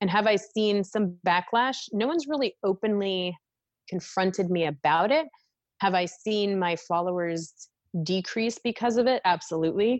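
A woman's medium-pitched, normal speaking voice at a moderate pace, with ordinary pitch variation, very even loudness, a dry, close sound with no echo, and a quiet background. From Minnesota, US Midwest. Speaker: oral and maxillofacial surgeon. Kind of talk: interview conversation.

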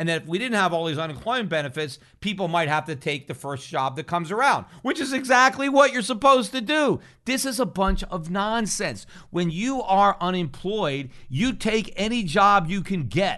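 A man's raised, projected voice, high-pitched with a bright, sharp tone and very wide pitch swings, at a moderate pace against a quiet background. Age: 50s. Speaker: financial podcast host. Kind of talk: solo commentary.

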